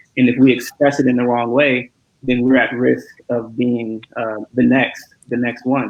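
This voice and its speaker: A man's medium-pitched, monotone, flat delivery at a moderate pace. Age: young. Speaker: community leader, panelist. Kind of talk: panel discussion. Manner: halting, many fillers and repetitions.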